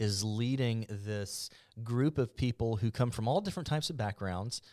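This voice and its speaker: On a very clean recording with a silent background, a man with a plain, everyday voice talks at a moderate pace, his medium pitch showing ordinary variation. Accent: American. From Mobile, Alabama (US South). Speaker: podcast host and journalist. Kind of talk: interview.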